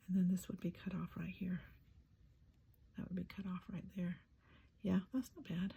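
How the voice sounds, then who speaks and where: A soft-spoken woman with a medium pitch and a dark, mellow, somewhat breathy tone speaks at a moderate pace. Her intonation is fairly even, and she takes long, frequent pauses. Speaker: collage artist and craft channel host. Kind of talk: crafting tutorial narration. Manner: musing, thinking aloud.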